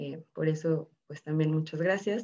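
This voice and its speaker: Very slowly, a woman speaks in a very deep, low pitch with a dark, mellow tone. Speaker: filmmaker. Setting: video call.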